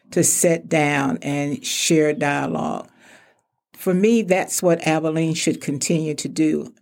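Speaking with a Texan accent, a woman talks at a fairly slow pace. Her pitch is very deep and low. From Texas (Palestine, Wichita Falls). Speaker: retired insurance executive, chamber president. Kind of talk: interview.

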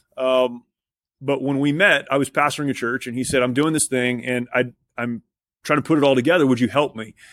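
In an ordinary speaking voice, a man with an American accent talks at a fairly quick pace, medium in pitch with fairly even intonation, on a very clean recording with a silent background. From Southern California. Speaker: military veteran and nonprofit CEO. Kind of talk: interview.

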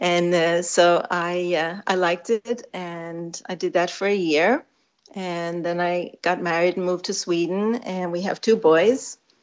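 An ordinary speaking voice with an American accent. The pace is fairly slow. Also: woman, fairly low pitch for a woman. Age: 50s. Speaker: physical therapist. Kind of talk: interview.

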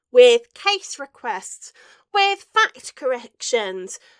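Slowly, a woman speaks in a clear, smooth, fairly bright tone with big pitch swings, the sound dry and close with no echo.

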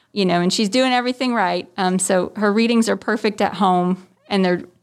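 An ordinary speaking voice with an American accent talks at a moderate pace with fairly even intonation on a very clean recording with a silent background. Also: woman. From New Jersey. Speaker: family physician. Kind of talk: interview.

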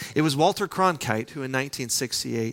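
Here is a normal speaking voice going at a fairly quick pace. The recording is very clean, and the background is silent. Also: man. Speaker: pastor. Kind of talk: sermon.

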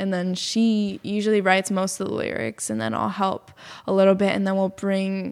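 On a very clean recording with a silent background, a woman with an American accent uses a normal speaking voice at a medium pitch, moving at a moderate pace with fairly even intonation. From Massachusetts, Boston area. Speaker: musician and yoga teacher. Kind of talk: casual interview.

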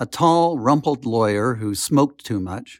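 A plain, everyday voice, a man speaks at a moderate pace with lively intonation, in a dry, close sound with no echo on a very clean recording with a silent background. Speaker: lawyer and TV producer, memoir author. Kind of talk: audiobook reading.

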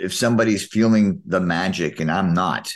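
A man's intonation is lively and his speed moderate, with a quiet background behind him. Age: 50s. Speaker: podcast co-host. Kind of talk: casual chat.

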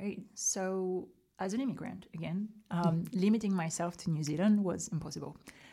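A woman with a French accent speaks at a medium pitch in a dark, mellow, somewhat breathy tone with ordinary pitch variation. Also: moderate pace. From rural south of France. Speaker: documentary maker. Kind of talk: interview.

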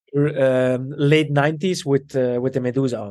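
A man with an Italian accent talks at a fairly quick pace with fairly even intonation. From Belgium, to Italian parents. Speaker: custom menswear tailor and shop owner. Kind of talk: casual interview. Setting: video call.

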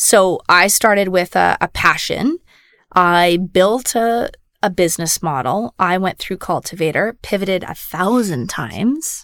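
A woman with a Canadian accent talks fairly slowly in an ordinary speaking voice, medium in pitch with lively intonation, in a very clean, dry, close recording with no echo and a silent background. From Saskatchewan, Canada. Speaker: insurance executive and angel investor. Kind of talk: interview.

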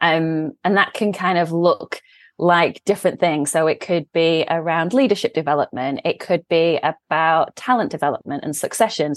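With an English accent, a woman speaks in a fairly low pitch at a moderate pace with ordinary pitch variation and hardly any pauses, the sound dry and close with no echo over a quiet background. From England. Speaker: CEO of a management consultancy. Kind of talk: interview. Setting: remote call.

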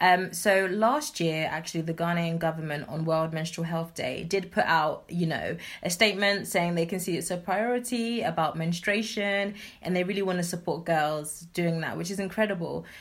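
A woman speaks with a London accent at a moderate pace. Her pitch is fairly low and varies in an ordinary way. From southeast London. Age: 20s. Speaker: nonprofit founder. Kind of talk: interview.

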